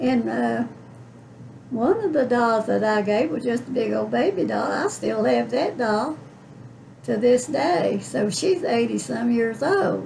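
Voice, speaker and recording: Over noticeable background noise, a woman speaks very slowly in an Appalachian accent. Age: 80s+. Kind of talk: interview answer. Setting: home. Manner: folksy, reminiscing.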